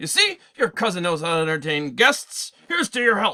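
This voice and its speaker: Using a put-on character voice, a man projects loudly in a high pitch at a moderate pace. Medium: read story. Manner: boorish, loud.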